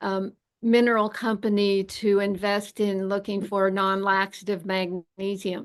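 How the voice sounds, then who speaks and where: At a fairly slow pace, a woman speaks with flat, monotone intonation and medium pitch. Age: 70s. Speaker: medical doctor and health author. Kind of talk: interview.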